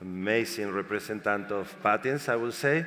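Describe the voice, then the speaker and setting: A man with a Spanish accent, fairly low in pitch with ordinary variation, bright and sharp in tone, at a moderate pace. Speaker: panel moderator. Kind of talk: panel discussion. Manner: halting.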